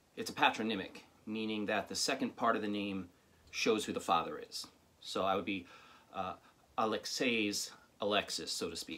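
Pausing long and often, a man talks at a moderate pace. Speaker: storyteller reading from his own writing. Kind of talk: personal storytelling monologue. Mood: wry, humorous. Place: home room. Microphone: phone near.

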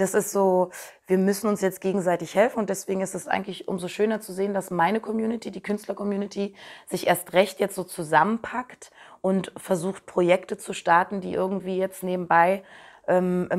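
Against a quiet background, a woman at medium pitch talks at a moderate pace with fairly even intonation. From Berlin, Germany. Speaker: singer; interviewee. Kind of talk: interview answers. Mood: thoughtful, warm. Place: home room.

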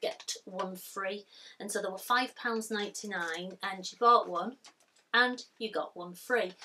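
Light background noise sits behind a woman speaking at a very slow pace. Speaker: haul vlogger. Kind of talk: casual vlog chat. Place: home room.

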